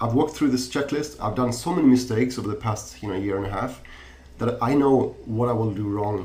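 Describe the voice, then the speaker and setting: Ordinary pitch variation from a male speaker, with audible room echo. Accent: non-native. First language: not English. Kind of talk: podcast interview. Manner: halting, many repetitions and fillers.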